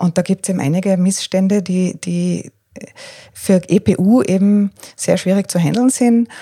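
Against a dry, close sound with no echo, a woman speaks at a fairly slow pace with medium pitch, ordinary pitch variation and a somewhat breathy, dark, mellow tone. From Austria, Tyrol. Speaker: freelance journalist and coach. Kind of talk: interview. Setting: living room at home. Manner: hesitant, many fillers.

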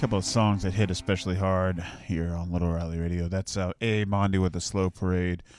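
Music plays in the background while a man talks at a fairly quick pace with hardly any pauses. His very deep, low voice is monotone and flat. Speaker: radio host. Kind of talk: casual chat. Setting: studio. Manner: halting.

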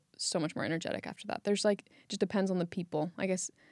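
A woman with a Californian accent and a fairly low pitch speaks very fast in a flat monotone, recorded dry and close with no echo against a silent, very clean background. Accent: Californian American. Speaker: podcast co-host. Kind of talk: casual chat.

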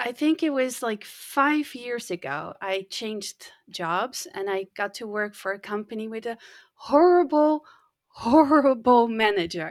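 In a Dutch accent, a woman with a fairly high voice talks at a fairly slow pace, her intonation lively. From Netherlands. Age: 50s. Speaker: podcast manager. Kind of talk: interview.

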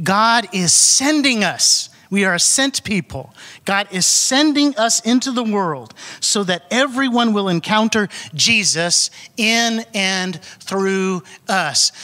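A man's raised, projected voice, high in pitch, very slow, with lively intonation and very even loudness over noticeable background noise. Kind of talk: church announcement. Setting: church.

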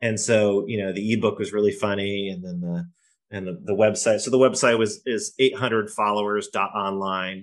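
An ordinary speaking voice, this man's sits at a fairly low pitch, moving at a moderate pace with fairly even intonation and an American accent over a quiet background. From New York, Poughkeepsie. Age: 40s. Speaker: founder and angel investor. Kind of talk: casual interview.

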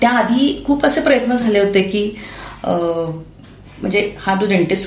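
A woman speaks with ordinary pitch variation. Audible room echo and noticeable background noise fill the recording. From Maharashtra, rural Pune district. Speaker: anaesthesiologist. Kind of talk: interview.

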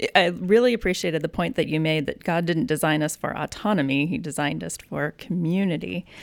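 A plain, everyday voice moves at a fairly quick pace with hardly any pauses and ordinary pitch variation. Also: woman, fairly low pitch for a woman. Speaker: podcast host. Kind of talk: casual chat.

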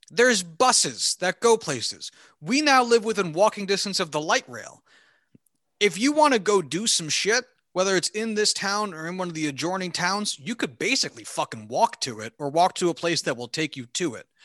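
A man with an American accent speaks at a high pitch with very wide pitch swings and a bright, sharp tone. His pace is moderate, and the sound is dry and close with no echo against a quiet background. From US Northeast, New Jersey (Hunterdon County). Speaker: podcast co-host. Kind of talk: casual chat.

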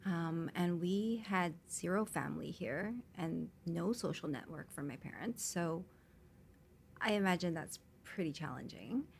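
Using ordinary pitch variation, a woman with a Canadian accent speaks at a fairly low pitch. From Canada (Vancouver). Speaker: entrepreneur. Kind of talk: interview. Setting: studio.

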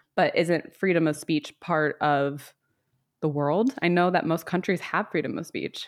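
A woman with an American accent and a normal speaking voice, fairly low in pitch, at a fairly slow pace with ordinary pitch variation, in a very clean recording with a silent background. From US South. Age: 30s. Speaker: podcast host. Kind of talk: casual chat.

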